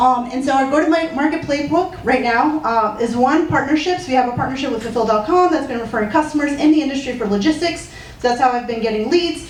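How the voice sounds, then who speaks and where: A woman speaks at a very fast pace with hardly any pauses, in a high pitch with ordinary pitch variation. Noticeable background noise and audible room echo are present. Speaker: startup founder. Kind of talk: startup pitch and Q&A.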